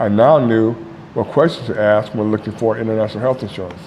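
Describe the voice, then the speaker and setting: Someone with an American accent speaks at a fairly quick pace, with ordinary pitch variation. Noticeable background noise is present. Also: man. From United States. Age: 60s. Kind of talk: casual talk to camera. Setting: outdoors.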